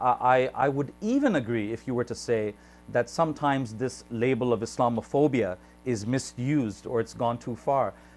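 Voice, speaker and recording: A man with a normal speaking voice talks at a moderate pace, his pitch medium. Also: fairly even intonation. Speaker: YouTube interviewer. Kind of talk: interview question, conversational.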